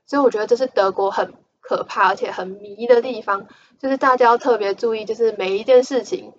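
A woman talks at a moderate pace. Her fairly high voice shows ordinary pitch variation. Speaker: podcast host. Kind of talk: casual solo monologue. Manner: animated.

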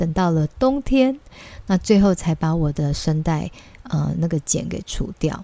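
A woman's fairly low, somewhat breathy voice with a dark, mellow tone at a moderate pace. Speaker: children's English teacher and podcast host. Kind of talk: casual monologue.

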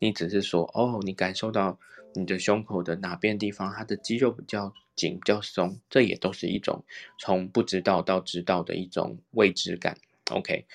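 At a moderate pace, the speaker keeps a fairly even intonation. The sound is dry and close with no echo, over a quiet background. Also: man, very deep, low pitch for a man. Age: young. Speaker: reiki teacher. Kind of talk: casual chat.

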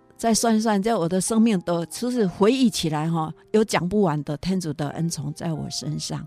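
Music plays behind a woman whose fairly low voice has lively intonation as she speaks at a moderate pace. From Taiwan, Yunlin County. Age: 60s. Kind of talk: interview testimony. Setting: studio. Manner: animated.

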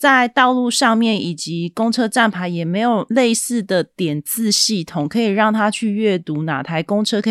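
An ordinary speaking voice from a woman, fairly slow and lively in intonation, in a very clean recording with a silent background and a dry, close sound without echo. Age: 40s. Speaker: podcast host, book reviewer. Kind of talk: solo podcast monologue, book review.

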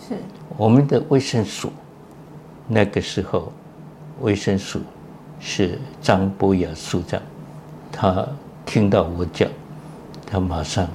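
A man with a fairly low voice speaks at a very slow pace, leaving long, frequent pauses. His intonation is lively. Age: 90s. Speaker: retired pediatric cardiologist, professor. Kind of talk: interview.

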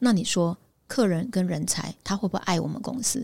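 Vocal fry marks this woman's medium-pitched voice. She keeps a moderate pace with ordinary pitch variation. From Taiwan, Pingtung. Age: 50s. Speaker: headhunting firm founder. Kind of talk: interview.

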